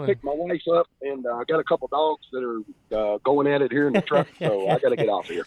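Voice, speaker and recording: Speaking very fast, a man with a Kentucky accent has a fairly high pitch. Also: ordinary pitch variation. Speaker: caller. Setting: phone, in a truck. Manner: warm, heartfelt.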